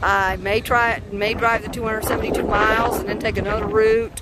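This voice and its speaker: The speech moves at a fairly quick pace, with a dry sound with no echo and loud background noise. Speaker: car-living road-trip vlogger. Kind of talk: casual vlog chat. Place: open country. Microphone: phone near.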